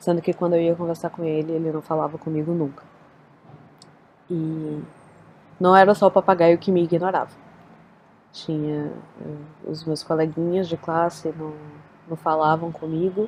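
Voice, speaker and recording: A woman speaks at a moderate pace with a fairly low pitch. Her intonation is a flat monotone, broken by long, frequent pauses. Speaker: spiritual practitioner sharing personal story. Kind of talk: personal testimony.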